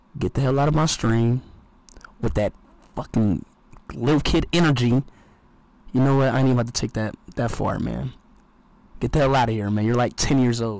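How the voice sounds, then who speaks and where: A man talks at a fairly quick pace. The sound is dry with no echo, and his pitch varies in an ordinary way. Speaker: livestreamer. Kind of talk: casual stream chat, ranting to chat. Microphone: headset.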